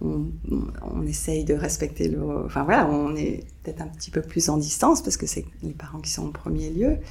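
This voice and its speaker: Moderate pace, audible room echo and noticeable background noise. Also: woman. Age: 50s. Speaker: grandmother. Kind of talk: testimony. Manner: halting.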